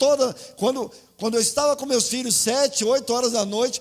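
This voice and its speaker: The speaker is a man. He talks at a fairly quick pace with ordinary pitch variation. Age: 60s. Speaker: pastor. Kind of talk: sermon.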